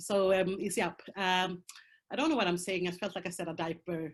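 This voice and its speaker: A woman with a Swedish accent talks at a fairly quick pace with fairly even intonation. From Colombia, raised in Sweden. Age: 30s. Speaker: prostitution survivor, speaker. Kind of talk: testimony. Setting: video call. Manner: halting.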